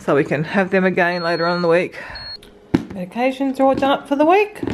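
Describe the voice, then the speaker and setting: A woman with an Australian accent talks at a very fast pace. Her pitch swings very widely, and there is noticeable background noise. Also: medium pitch for a woman. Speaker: stay-at-home mum, vlogger. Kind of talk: casual talk to camera.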